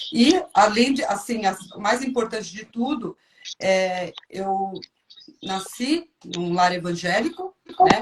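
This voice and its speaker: With lively intonation and big swings in loudness, a woman at a fairly high pitch speaks at a very slow pace with long, frequent pauses. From São Paulo, Brazil. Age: 50s. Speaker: churchgoer sharing testimony. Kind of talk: testimony.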